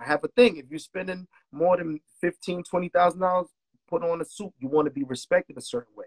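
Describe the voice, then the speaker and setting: A high-pitched man talks with a Brooklyn accent, the sound dry and close with no echo. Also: ordinary pitch variation, moderate pace, big swings in loudness. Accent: New York (Brooklyn). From Brooklyn, New York. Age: 40s. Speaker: music producer. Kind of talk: casual chat.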